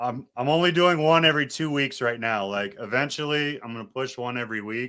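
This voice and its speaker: A man with an unremarkable speaking voice, ordinary pitch variation and a fairly quick pace. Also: medium pitch for a man. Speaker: podcast host. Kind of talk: casual chat. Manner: casual, fast.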